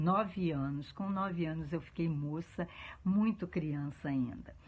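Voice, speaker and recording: Somewhat breathy and fairly low-pitched, a woman speaks at a fairly slow pace with ordinary pitch variation. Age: 70s. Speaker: interviewee. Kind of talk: testimony.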